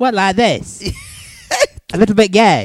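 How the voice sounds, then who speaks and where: In a squeaky put-on character voice at middle pitch, the speaker goes at a fairly slow pace with music in the background. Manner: playfully camp.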